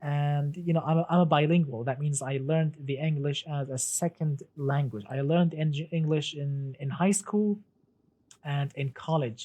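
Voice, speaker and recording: The speaker has an Arabic accent. The pace is moderate. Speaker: gaming streamer. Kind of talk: live stream commentary. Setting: live stream. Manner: halting, many fillers and repetitions.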